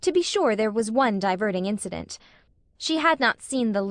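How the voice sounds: Lively intonation in a natural reading voice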